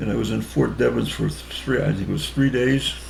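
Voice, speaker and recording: A man with an American accent talks at a moderate pace, with audible room echo and noticeable background noise. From Connecticut, US. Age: 80s+. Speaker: war veteran. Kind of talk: interview. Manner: halting.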